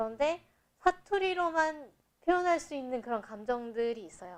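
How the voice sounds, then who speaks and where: A high-pitched woman at a moderate pace with very wide pitch swings. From South Korea, Busan. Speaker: podcast host. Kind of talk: casual chat. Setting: studio.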